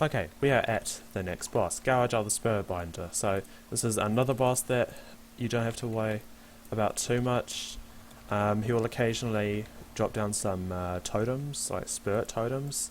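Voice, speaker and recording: Ordinary pitch variation marks this voice, which moves at a moderate pace. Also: man, medium pitch for a man. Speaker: video game tutorial creator. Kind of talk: gameplay tutorial commentary. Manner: hesitant, many fillers.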